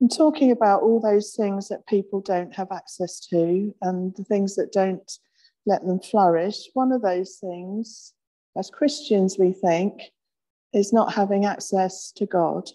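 A woman talks at a fairly slow pace in a dark, mellow tone with ordinary pitch variation, over a quiet background. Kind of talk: sermon. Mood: gentle, reflective. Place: church.

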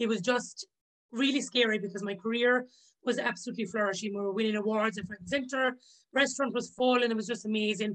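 A woman with a Limerick accent at a very fast pace, fairly even intonation, and a quiet background. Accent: Irish (Limerick). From Ireland, County Limerick. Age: 30s. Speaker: chef and author. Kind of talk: casual interview chat. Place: home room. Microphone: video call.

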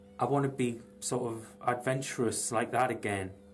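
Over faint music in the background, a man speaks with monotone, flat intonation. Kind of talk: casual vlog chat. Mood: reflective, candid. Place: workshop. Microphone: phone near.

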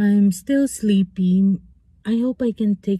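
A somewhat breathy, dark and mellow voice with fairly even intonation, dry and echo-free against a quiet background. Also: woman. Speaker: vlogger. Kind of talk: casual vlog chat. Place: car. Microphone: phone near.

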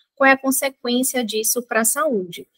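Fairly quick delivery against a quiet background. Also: woman. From Belém, Pará, northern Brazil; Pará, Brazil. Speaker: nutritionist; guest. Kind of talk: pre-recorded expert explanation. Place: home room. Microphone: webcam.

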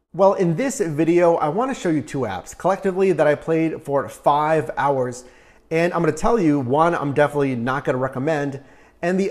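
The man's intonation is lively, and the background stays quiet. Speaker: side hustle channel host. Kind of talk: casual vlog chat. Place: home room. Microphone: lapel.

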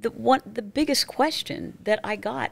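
The speaker is a woman. Her voice carries vocal fry. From northeastern Pennsylvania. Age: 60s. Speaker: former TV news anchor and author; former TV news anchor. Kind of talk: interview testimony. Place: studio. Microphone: studio mic.

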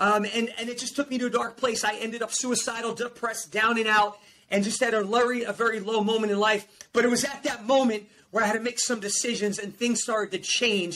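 Over light background noise, a man with an American accent talks at a very fast pace in an extremely high pitch, with an animated tone and a raised, projected voice. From New Jersey. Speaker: performance coach and motivational speaker. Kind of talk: motivational testimony. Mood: emotional personal story. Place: home room.

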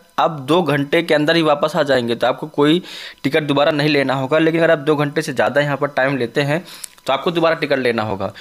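The man talks at a moderate pace. His intonation is fairly even. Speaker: travel vlogger. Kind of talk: casual vlog chat. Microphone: phone near.

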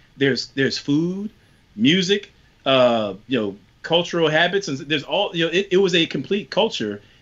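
A Southern accent at a moderate pace, with very wide pitch swings. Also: man, fairly high pitch for a man. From US South (rural Virginia); US South. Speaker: panelist. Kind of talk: panel discussion. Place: home room. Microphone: video call.

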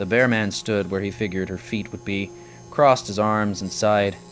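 Music plays in the background as a man speaks in a fairly low voice. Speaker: author reading own book. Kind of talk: audiobook excerpt reading.

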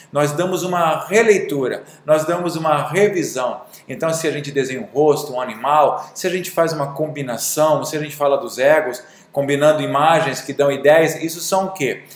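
A man talks at a moderate pace in a fairly high pitch with ordinary pitch variation. Audible room echo trails his words. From Brazil. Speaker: drawing teacher and artist; drawing teacher. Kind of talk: video monologue. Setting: studio. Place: studio. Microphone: webcam.

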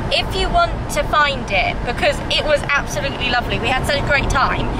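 A woman talks at a moderate pace over loud background noise, the sound dry with no echo. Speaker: travel vlogger. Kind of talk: casual vlog chat. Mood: cheerful, chatty. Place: car. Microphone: phone near.

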